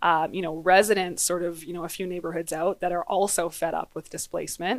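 With a Canadian accent, a woman speaks in a normal speaking voice at a medium pitch and a fairly quick pace, on a very clean recording with a silent background. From western Canada. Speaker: business association director. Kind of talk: interview. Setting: in-person studio.

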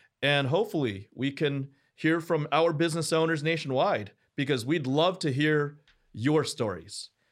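A man with a fairly high pitch talks in an ordinary speaking voice at a moderate pace. His pitch varies in an ordinary way, and the recording is very clean with a silent background. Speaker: podcast host. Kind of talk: interview.

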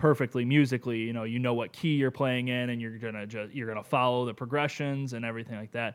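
The recording is very clean, with a silent background. A man speaks very fast at a medium pitch with fairly even intonation. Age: 20s. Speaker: podcast guest. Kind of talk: casual chat.

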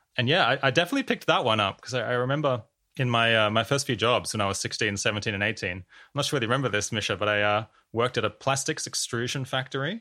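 In an Australian accent, a man rattles along at a very fast pace with a bright, sharp tone and medium pitch. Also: ordinary pitch variation, very clean recording, silent background. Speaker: podcast host. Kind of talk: casual chat. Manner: halting.

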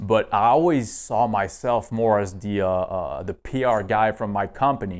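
A man with a plain, everyday voice speaks at a fairly low pitch and moderate pace. He hardly pauses, and the recording is very clean with a silent background. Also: ordinary pitch variation. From northeast Canada. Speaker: fitness coach and entrepreneur. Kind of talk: casual interview.

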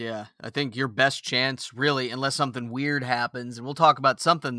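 A man with an American accent speaks at a medium pitch and a fairly quick pace in a bright, sharp tone, recorded very cleanly against a silent background with a dry, close sound and no echo. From Toledo, Ohio (born California, Tennessee roots). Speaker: podcast host. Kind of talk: casual chat. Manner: animated.

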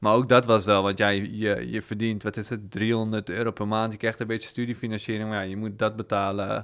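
A man talks at a fairly quick pace and a fairly low pitch, with hardly any pauses and monotone, flat intonation. The recording is very clean, the background silent. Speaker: podcast guest who was in debt. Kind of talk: casual interview. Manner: calm.

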